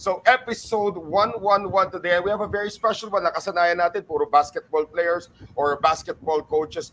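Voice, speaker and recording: A man's high-pitched voice at a fairly quick pace, with hardly any pauses. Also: ordinary pitch variation. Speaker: podcast host. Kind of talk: podcast interview, Taglish.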